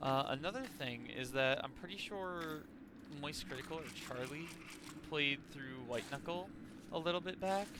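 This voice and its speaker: A man with an American accent at a fairly high pitch and moderate pace, with ordinary pitch variation, long, frequent pauses and noticeable background noise. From Texas. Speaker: gaming streamer. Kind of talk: casual gameplay commentary. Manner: loud; animated.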